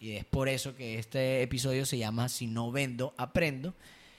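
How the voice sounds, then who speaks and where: In a very clean recording with a silent background, a man speaks in a normal speaking voice. His pitch is medium, his pace moderate and his intonation fairly even. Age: 20s. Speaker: podcast host, marketing consultant. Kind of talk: casual chat.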